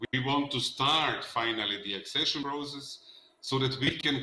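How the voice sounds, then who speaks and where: A man with a Macedonian accent speaks fairly slowly at a fairly high pitch with fairly even intonation over noticeable background noise. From North Macedonia. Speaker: politician. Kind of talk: panel discussion.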